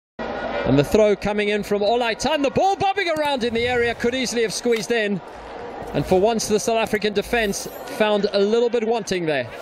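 An animated, excited man talks at a fairly quick pace with a high pitch and ordinary pitch variation. His loudness stays very even over noticeable background noise. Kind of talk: live football commentary. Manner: animated, fast, excited; fluent play-by-play, polished.

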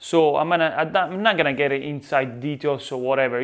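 The background is quiet. A man speaks with an Italian accent. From Italy. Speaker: pizza chef and YouTuber. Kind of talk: tutorial. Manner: animated; halting. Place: kitchen. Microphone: lapel.

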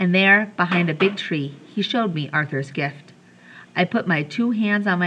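The voice heard is a natural reading voice.

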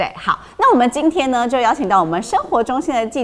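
A woman with a fairly high voice speaks at a very fast pace. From Taiwan. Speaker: news show host. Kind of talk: casual news chat. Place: studio.

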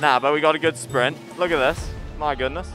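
At a fairly quick pace, a man delivers his lines while music sounds in the background. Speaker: biathlete playing radio commentator. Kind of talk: casual humorous commentary.

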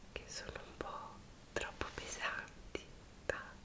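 A woman whispers at a very slow pace. Her tone is soothing. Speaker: ASMR creator. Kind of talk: ASMR roleplay, personal attention. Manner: soft-spoken, whispered, soothing. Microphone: earbuds.

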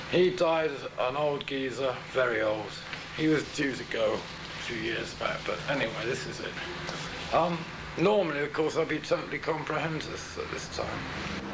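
Noticeable background noise surrounds a man speaking at a fairly slow pace. His voice is fairly high-pitched with ordinary pitch variation. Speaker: unemployed musician. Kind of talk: documentary interview.

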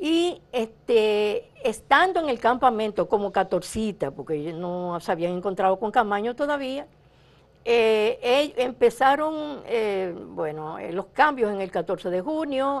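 Moving at a very slow pace, a woman with a fairly high pitch makes very wide pitch swings. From Dominican Republic. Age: 70s. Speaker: revolutionary's widow. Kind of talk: interview testimony. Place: studio.

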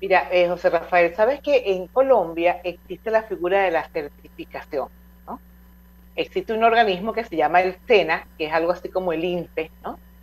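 In a normal speaking voice, the delivery moves at a moderate pace with ordinary pitch variation. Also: woman, medium pitch for a woman. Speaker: radio host. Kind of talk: radio interview.

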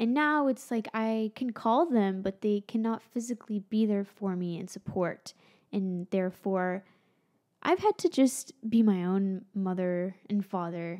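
Against a quiet background, a woman with an American accent speaks at a fairly slow pace in a dark, mellow tone with ordinary pitch variation. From Florida. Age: 20s. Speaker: YouTuber and musician; YouTuber. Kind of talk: vlog monologue. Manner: casual, conversational. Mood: reflective, candid. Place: home room. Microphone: studio mic.

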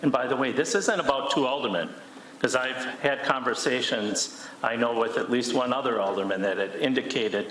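Over noticeable background noise and audible room echo, a man speaks at a fairly quick pace with a medium pitch and very even loudness. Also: ordinary pitch variation. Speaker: city council alderman. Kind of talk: heated council debate. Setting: council chamber meeting.

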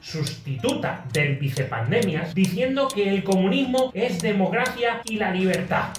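A man speaks at a fairly slow pace, his high pitch making very wide swings. Audible room echo and light background noise surround him. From Spain. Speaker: comedian. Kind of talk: comedy monologue to camera. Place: home room. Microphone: phone near.

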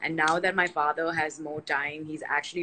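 Over light background noise, a woman with a very deep, low voice speaks fairly quickly in a flat monotone. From India. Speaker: nutritionist and health coach; live video host. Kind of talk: casual live-stream chat; casual conversation on a live video. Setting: online live video session. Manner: fast, filler-heavy. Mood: relaxed, chatty. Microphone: phone near.

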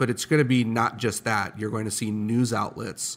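A man's fairly low, monotone voice with flat intonation at a moderate pace. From Chicago, US Midwest. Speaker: startup founder and CEO. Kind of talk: interview. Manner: casual.

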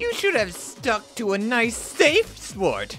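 Over faint music in the background, a cartoonish character voice with a fairly bright tone moves at a slow pace through very wide pitch swings.

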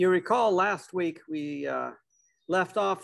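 Here a man talks at a fairly slow pace. The background is quiet. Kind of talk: storytelling talk. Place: garden. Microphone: video call.

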